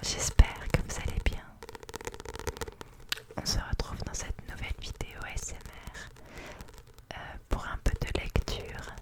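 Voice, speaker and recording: The voice whispers at a very slow pace with long, frequent pauses. Noticeable background noise sits behind it. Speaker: ASMR artist. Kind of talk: casual talk to camera. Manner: whispered.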